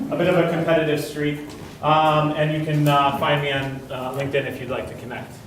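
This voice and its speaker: A man talks at a fairly quick pace in a fairly high pitch, his intonation flat and monotone. Audible room echo and noticeable background noise fill the recording. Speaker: conference speaker. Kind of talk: conference talk. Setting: large room with audience, one microphone. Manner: loud.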